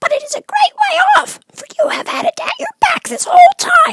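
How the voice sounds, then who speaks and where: A put-on character voice sounds squeaky at an extremely high pitch. Its pitch swings very widely at a moderate pace. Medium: read story. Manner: quick, friendly.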